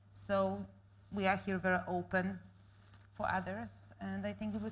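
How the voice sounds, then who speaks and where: A woman speaks with a non-native accent. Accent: foreign accent, noticeable. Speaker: panel guest. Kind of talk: panel discussion.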